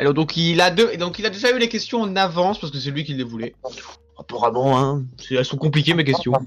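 A man with an ordinary speaking voice, fairly high in pitch, at a fairly quick pace with lively intonation. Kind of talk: casual chat. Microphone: new microphone.

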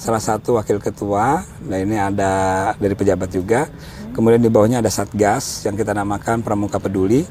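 Over music in the background, a man talks at a fairly quick pace in a fairly low voice with fairly even intonation. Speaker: scout leader and local government official. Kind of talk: interview.

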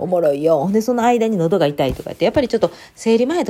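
A woman's dark, mellow voice at a very fast pace, with very wide pitch swings. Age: 30s. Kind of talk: casual solo monologue. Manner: casual, rambling with fillers.

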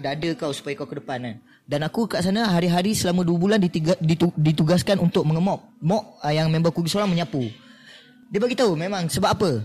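A man talks very fast in a high voice. His intonation is lively. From Malaysia, Negeri Sembilan (Seremban). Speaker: actor. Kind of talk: casual chat. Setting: cafe.

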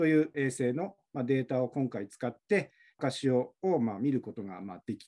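A man speaks at a moderate pace. His medium-pitched voice has a dark, mellow tone. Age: 40s. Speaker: university researcher in fisheries science. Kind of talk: interview. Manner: halting.

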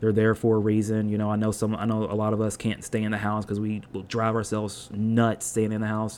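A man with a fairly low voice. He talks at a moderate pace. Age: 20s. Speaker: podcast host. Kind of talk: casual monologue. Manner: rambling, many fillers.

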